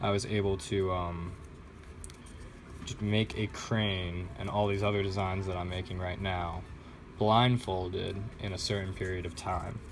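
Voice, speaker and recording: A man speaks at a very deep, low pitch with monotone, flat intonation. His fairly slow delivery has long, frequent pauses, and audible room echo surrounds it. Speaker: vlogger doing origami. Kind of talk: casual vlog while folding. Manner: hesitant, many fillers.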